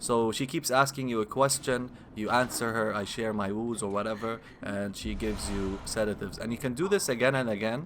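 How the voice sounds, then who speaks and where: A man with a non-native accent, talking at a fairly quick pace. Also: medium pitch for a man, ordinary pitch variation. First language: not English. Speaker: gaming video creator. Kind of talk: gameplay commentary. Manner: halting, self-correcting.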